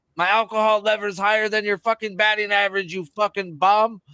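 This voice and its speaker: A man with a high pitch and a bright, sharp tone uses a raised, projected voice at a moderate pace. The sound is dry and close, with no echo. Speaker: sports betting stream co-host. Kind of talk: casual chat. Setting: live stream. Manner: loud; animated.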